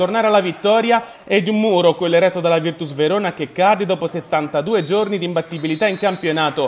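Over noticeable background noise, a man talks in an animated tone at a fairly quick pace with ordinary pitch variation. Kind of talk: sports commentary. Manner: fast, clipped play-by-play narration; animated, rising excitement at the late winning goal.

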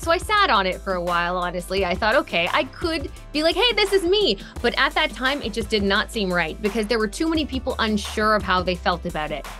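Faint music plays behind the speaker. She is a woman talking very fast. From Canada. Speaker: radio DJ and voice-over artist. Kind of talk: interview answer. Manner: happy, peppy. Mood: cheerful, animated. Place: studio.

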